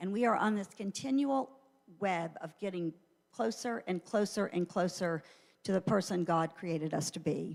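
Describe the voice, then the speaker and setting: A woman with an ordinary speaking voice talks at a moderate pace, her pitch varying in an ordinary way. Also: medium pitch for a woman. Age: 60s. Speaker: church teacher. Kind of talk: church teaching talk. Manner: conversational with fillers.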